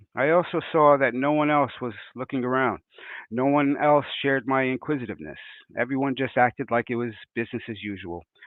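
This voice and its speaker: A man with a New York accent talks at a fairly quick pace with ordinary pitch variation. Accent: New York American. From New York, US. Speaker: conference speaker. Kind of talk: conference presentation. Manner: hesitant, with fillers.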